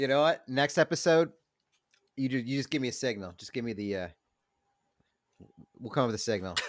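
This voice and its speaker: Speaking at a fairly quick pace with lively intonation, a man of medium pitch leaves long, frequent pauses. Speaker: podcast co-host. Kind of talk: casual chat. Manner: soft-spoken.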